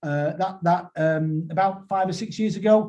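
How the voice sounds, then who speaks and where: The voice carries a dark, mellow tone and a northern English accent. It moves at a fairly quick pace with ordinary pitch variation. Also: man. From northern England. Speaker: school trust chief executive. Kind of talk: webinar presentation. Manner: hesitant, many repetitions and fillers.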